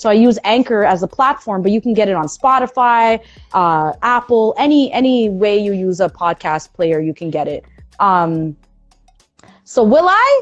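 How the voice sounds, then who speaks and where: At a moderate pace, a woman speaks in an animated tone at medium pitch with ordinary pitch variation. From Toronto, Canada. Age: 30s. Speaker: radio host. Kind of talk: interview. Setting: online live stream. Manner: loud.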